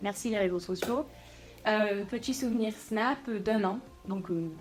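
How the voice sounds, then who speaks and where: A woman speaks at a very slow pace with ordinary pitch variation. Music plays behind her. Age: 20s. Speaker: coaching client. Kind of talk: interview testimony. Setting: podcast.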